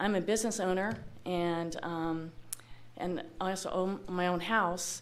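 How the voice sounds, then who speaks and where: A woman with an American accent, fairly even intonation and a fairly slow pace, in a room with audible echo. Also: medium pitch for a woman. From Los Angeles area, California. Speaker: local business owner, public commenter. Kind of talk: public comment at city meeting. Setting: public meeting hall. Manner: loud.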